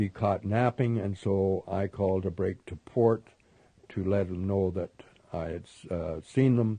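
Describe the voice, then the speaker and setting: The speaker has a Canadian accent and a dark, mellow tone. Delivery is fairly slow with fairly even intonation. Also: man. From Canada. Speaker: war veteran, former Spitfire pilot. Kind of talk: interview answer.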